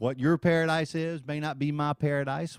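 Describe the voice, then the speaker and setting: With a Southern US accent, a man speaks in an animated tone on a very clean recording with a silent background and a dry, close sound with no echo. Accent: southern drawl. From US South, Alabama. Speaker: radio host and singer-guitarist. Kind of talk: casual chat.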